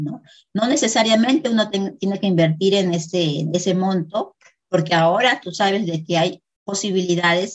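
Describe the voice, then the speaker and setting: Moderately paced, the speech shows ordinary pitch variation. The voice is somewhat breathy. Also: woman. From Peru. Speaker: affiliate marketer. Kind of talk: interview.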